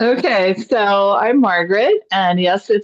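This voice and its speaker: A very slow pace with ordinary pitch variation. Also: woman. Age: 60s. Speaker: yoga student. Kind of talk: casual chat. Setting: video call.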